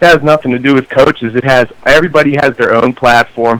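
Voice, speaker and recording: A man with a Pittsburgh accent, medium-pitched, at a fairly quick pace. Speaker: caller. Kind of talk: sports call-in opinion. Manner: animated.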